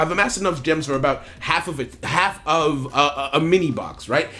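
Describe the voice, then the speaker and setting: A man talks at a fairly quick clip while music plays behind him. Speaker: gaming YouTuber. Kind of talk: casual gameplay commentary. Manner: animated; halting, repeats words.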